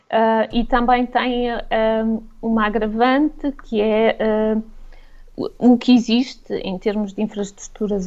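With fairly even intonation, a woman speaks very slowly at a fairly high pitch. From Portugal. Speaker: travel blogger. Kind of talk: radio interview.

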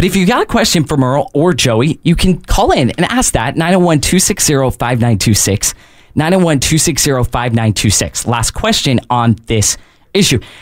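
A man with a fairly high pitch, very wide pitch swings, very even loudness and a very slow pace. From northern US. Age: 20s. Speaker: radio host. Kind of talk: talk radio. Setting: studio.

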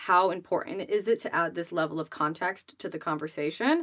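On a very clean recording with a silent background, a woman with an American accent speaks fairly slowly at a fairly low pitch in an ordinary speaking voice. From Rhode Island, US. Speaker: business coach and influencer. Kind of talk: casual interview.

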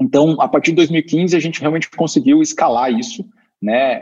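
At a moderate pace, a man with a high voice speaks with very wide pitch swings. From Curitiba, Brazil. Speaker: startup co-founder and executive. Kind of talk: interview.

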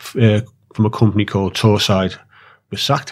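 This man has a Liverpool accent and a medium pitch, delivered in a monotone, flat intonation. The recording is very clean, with a silent background. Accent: Liverpool (Scouse). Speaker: dock worker and union activist. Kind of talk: interview. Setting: studio.

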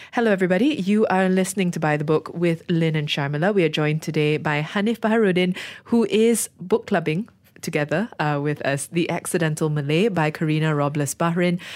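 A woman with a plain, everyday voice speaks at a fairly low pitch and fairly quick pace, with ordinary pitch variation and very even loudness, in a very clean recording with a silent background. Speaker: radio host. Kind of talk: book club discussion.

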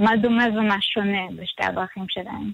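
A woman speaks with a fairly bright tone and vocal fry. The recording is dry and close with no echo.

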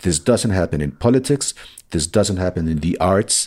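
At a moderate pace and with lively intonation, a man with a Spanish accent speaks in a very deep, low pitch on a very clean recording with a silent background. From Colombia. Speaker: novelist. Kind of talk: interview.

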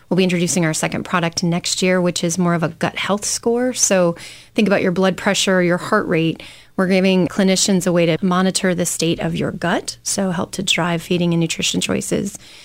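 With an American accent, a woman speaks in a fairly low pitch, her intonation monotone and flat and her loudness very even. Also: fairly quick pace. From Michigan. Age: 40s. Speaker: startup CEO. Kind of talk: interview.

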